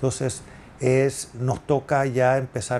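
A man talks at a medium pitch. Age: 50s. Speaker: real estate agent. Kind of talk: solo podcast monologue. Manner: halting, many filler sounds.

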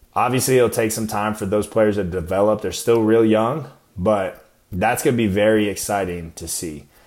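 Speaking in an unremarkable speaking voice, a man with an American accent talks at a moderate pace and fairly low pitch. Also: ordinary pitch variation. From US Midwest and Arizona. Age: 20s. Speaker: podcast host and Marine. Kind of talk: casual solo podcast talk.

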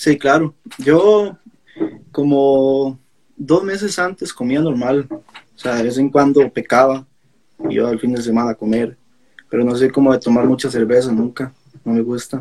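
Long, frequent pauses with ordinary pitch variation. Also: man, medium pitch for a man, fairly slow pace. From Costa Rica, Alajuela. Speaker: national judo athlete. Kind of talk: interview.

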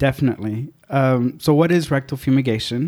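A man with a Spanish accent has a dark, mellow tone at medium pitch. His intonation is fairly even, on a very clean recording with a silent background. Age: 30s. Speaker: podcast guest. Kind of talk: casual chat.

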